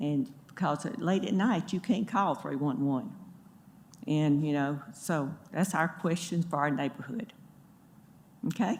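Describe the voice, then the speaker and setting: Somewhat breathy and fairly low, a woman's voice with an American accent moves at a fairly slow pace with lively intonation and long, frequent pauses. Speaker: neighborhood resident speaking at public hearing. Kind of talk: public comment at city meeting. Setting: public meeting room with microphone. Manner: shaky.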